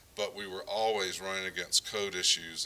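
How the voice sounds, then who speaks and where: Through noticeable background noise, a man with a very deep, low pitch speaks at a fairly quick pace. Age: 60s. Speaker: developer and builder. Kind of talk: conference talk.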